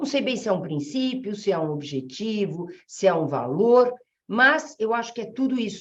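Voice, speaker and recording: Speaking at a moderate pace, a woman's fairly high voice moves through very wide pitch swings. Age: 60s. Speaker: family law jurist, association president. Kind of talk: webinar talk. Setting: online webinar. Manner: halting, with many fillers.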